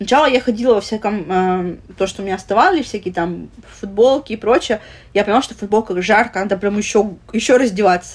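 A woman's medium-pitched voice at a very fast pace with ordinary pitch variation. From Russia, Vladivostok (Russian Far East). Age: 30s. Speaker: plus-size lifestyle blogger. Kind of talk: casual interview.

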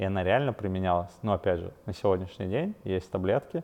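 This man's voice is very deep and low. He speaks at a fairly quick pace. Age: 30s. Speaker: fitness coach and nutritionist. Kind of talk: solo educational podcast. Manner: casual with frequent fillers.

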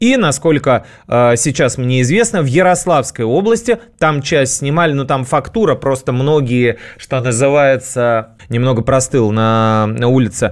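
On a very clean recording with a silent background, a man talks at a fairly slow pace. His loudness stays very even, and his pitch varies in an ordinary way. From Russia, St Petersburg and Moscow outskirts. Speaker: radio host. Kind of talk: casual radio monologue.

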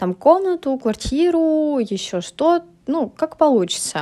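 A woman talks fairly slowly, her pitch swinging very widely. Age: 20s. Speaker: podcaster, university student. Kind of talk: personal monologue podcast. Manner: halting, many filler sounds.

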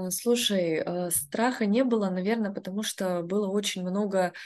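Against a quiet background, a woman talks fairly slowly in a normal speaking voice, her medium pitch moving with ordinary variation. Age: 20s. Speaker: entrepreneur. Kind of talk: casual chat.

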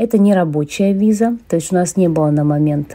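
Over noticeable background noise, a woman speaks at a moderate pace with a fairly low pitch and ordinary pitch variation. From Yakutia, Russia. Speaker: emigrant, former English teacher. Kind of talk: interview.

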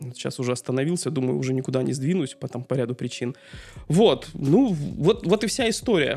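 A man speaks with a dark, mellow tone at a fairly high pitch. His intonation is lively. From Dudinka, northern Siberia, Russia. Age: 40s. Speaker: engineer and amateur photographer. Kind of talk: casual interview conversation.

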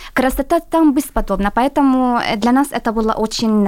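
A woman with an Arabic accent speaks at a fairly high pitch with ordinary pitch variation. Noticeable background noise runs under her voice. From Syria. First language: Arabic (speaking Russian). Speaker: international student. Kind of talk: radio interview. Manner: halting.

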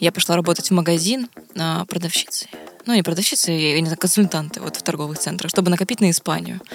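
Noticeable background noise sits behind a woman who talks at a very fast pace with ordinary pitch variation. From Vladivostok, Russia. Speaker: podcast co-host. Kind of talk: casual chat.

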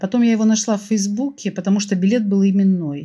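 A woman's somewhat breathy, medium-pitched voice with a dark, mellow tone, a moderate pace and ordinary pitch variation. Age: 60s. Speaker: opera fan telling a personal story. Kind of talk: personal storytelling.

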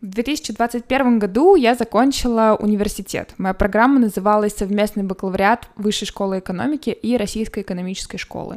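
Talking at a fairly quick pace with hardly any pauses, a woman with a normal speaking voice keeps a fairly high pitch and fairly even intonation. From Moscow, Russia. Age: 20s. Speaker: podcast host. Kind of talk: solo podcast monologue.

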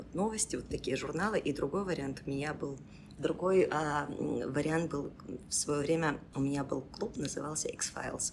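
Ordinary pitch variation accompanies talk delivered at a moderate pace. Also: woman, very deep, low pitch for a woman. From Belarus, Mozyr. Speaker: school principal and English teacher. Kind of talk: casual interview. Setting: improvised studio.

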